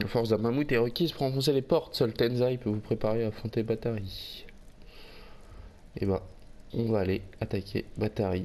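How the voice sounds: His voice is fairly low, with a dark, mellow tone. The man's intonation stays fairly even. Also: moderate pace.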